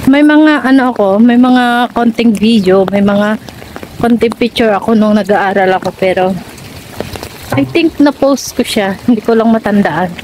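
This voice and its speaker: A woman's fairly high voice at a fairly slow pace, with ordinary pitch variation, very even loudness, and noticeable background noise. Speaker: vlogger, overseas worker. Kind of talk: vlog. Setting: walking around a school. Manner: soft-spoken.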